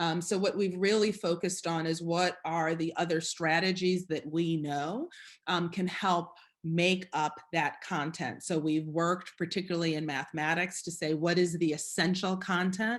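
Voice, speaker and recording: Against a quiet background, a woman with a fairly low pitch speaks in a plain, everyday voice at a moderate pace, her intonation fairly even. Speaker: school district chief executive. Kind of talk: presentation with slides. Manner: many filler words.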